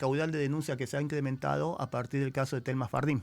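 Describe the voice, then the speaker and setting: On a very clean recording with a silent background, a man speaks at a fairly high pitch with ordinary pitch variation. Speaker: criminal lawyer. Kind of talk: radio interview. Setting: radio studio.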